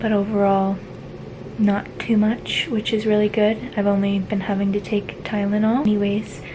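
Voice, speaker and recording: A woman speaks quietly at a medium pitch and a moderate pace, in a monotone, flat voice with very even loudness. Noticeable background noise runs underneath. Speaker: vlogger. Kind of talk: casual vlog update.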